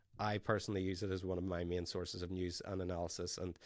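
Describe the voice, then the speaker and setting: In an Irish accent, a man speaks with a fairly low pitch on a very clean recording with a silent background. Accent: Irish brogue. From Ireland. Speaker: podcast host, tech company founder. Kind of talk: interview podcast.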